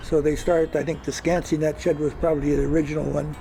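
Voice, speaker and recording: A man's fairly quick, fairly high-pitched, monotone and flat delivery with an American accent, music playing in the background. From Gig Harbor, Washington, US Pacific Northwest. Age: 90s. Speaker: retired commercial fisherman and former mayor. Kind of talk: oral history interview. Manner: halting, many fillers and repetitions.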